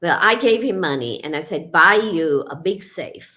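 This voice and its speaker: On a very clean recording with a silent background, a woman's bright, sharp voice shows vocal fry and very wide pitch swings. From Kenya. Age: 60s. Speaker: retired psychiatrist and author. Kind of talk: interview. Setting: radio show.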